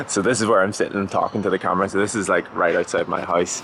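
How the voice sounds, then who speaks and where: Over noticeable background noise, a man talks at a fairly low pitch in a monotone, flat intonation. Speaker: vlogger and runner. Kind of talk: casual vlog talk to camera. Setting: outdoors on street outside house. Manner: occasionally stumbles over words.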